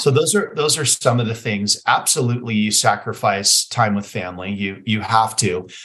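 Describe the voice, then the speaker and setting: A plain, everyday voice speaks in an American accent at a moderate pace. There are hardly any pauses, and the pitch variation is ordinary. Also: man, medium pitch for a man. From Las Vegas, Nevada, US. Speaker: chiropractor and clinic owner. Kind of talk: interview.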